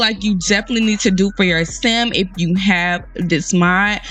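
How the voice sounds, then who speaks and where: With music in the background, the speaker talks at a moderate pace in an animated tone. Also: woman. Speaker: gaming YouTuber. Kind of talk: tutorial.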